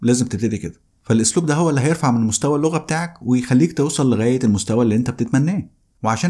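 Against light background noise, a man with a medium pitch and a dark, mellow tone speaks with lively intonation. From Egypt. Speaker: English teacher. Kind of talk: course promo; casual promotional talk to viewers. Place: studio. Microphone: studio mic.

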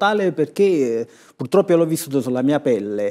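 Over a quiet background, a man with a dark, mellow tone talks at a fairly quick pace and with lively intonation. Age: 60s. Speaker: author and comedy writer; talk show guest. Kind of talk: studio TV talk show discussion. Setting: TV studio. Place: studio. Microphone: lapel.

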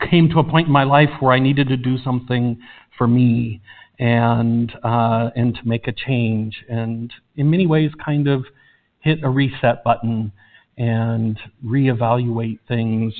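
A man's fairly slow delivery with fairly even intonation. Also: quiet background. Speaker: pastor. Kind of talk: announcement to the congregation. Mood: emotional, hesitant. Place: church.

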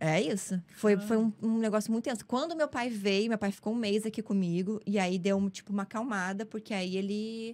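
With hardly any pauses, a woman speaks at a fairly quick pace and ordinary pitch variation. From southern Brazil, Novo Hamburgo, Rio Grande do Sul. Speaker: actress and comedian. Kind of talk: casual interview storytelling. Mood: candid personal storytelling. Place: studio. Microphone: studio mic.

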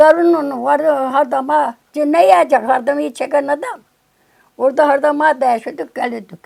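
A woman with a high pitch talks at a moderate pace, with ordinary pitch variation. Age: 80s+. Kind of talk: interview answer.

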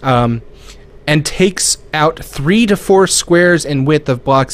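Lively intonation colors what this man is saying. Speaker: podcast co-host. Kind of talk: casual chat. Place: home room. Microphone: studio mic.

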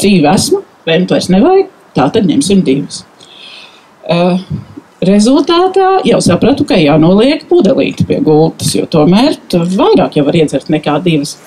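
Her loudness stays very even while this woman's pitch swings very widely. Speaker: nail care specialist; invited storyteller. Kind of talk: testimony. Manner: halting. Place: garden. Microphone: handheld.

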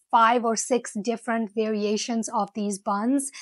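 A woman speaks in a monotone, flat way, with a dry sound with no echo and a quiet background. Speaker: food vlogger. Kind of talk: casual vlog chat. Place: home room. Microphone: lapel.

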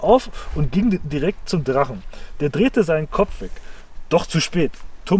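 The speaker has a natural reading voice.

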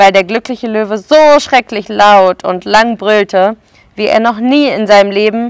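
This is an unforced reading voice. It comes through as an unforced reading voice throughout.

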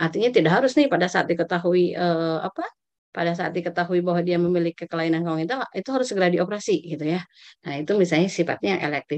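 With lively intonation and a fairly low pitch, a woman talks at a very fast pace over a quiet background. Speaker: pediatric nurse specialist; medical lecturer. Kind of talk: lecture. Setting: video call. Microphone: video call.

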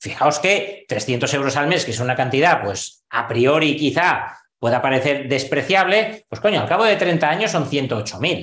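A man's fairly high voice with lively intonation and hardly any pauses. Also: moderate pace. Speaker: investment educator. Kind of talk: online course lesson. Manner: animated.

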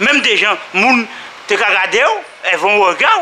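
In a Guadeloupean accent, a man speaks over light background noise. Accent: Guadeloupean Creole-accented French. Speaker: sports club member. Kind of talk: interview. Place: hall. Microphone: phone near.

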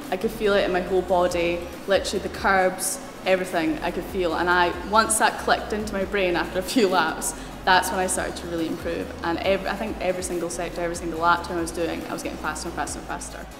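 A woman with a Scottish accent, medium pitch, very fast pace and fairly even intonation, amid noticeable background noise. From Scotland. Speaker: racing driver. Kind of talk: interview answer. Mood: enthusiastic, grateful.

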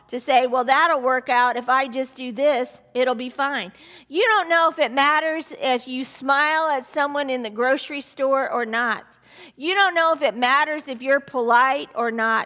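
Speaking at a fairly slow pace, a woman uses a raised, projected voice with a bright, sharp tone. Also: ordinary pitch variation. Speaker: pastor. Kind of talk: sermon. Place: church. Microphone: headset.

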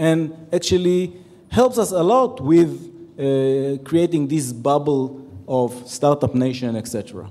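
A man speaks very slowly, with ordinary pitch variation. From Israel. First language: Hebrew. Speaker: retired military general; conference panelist. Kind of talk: conference panel talk. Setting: stage with audience. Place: hall. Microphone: handheld.

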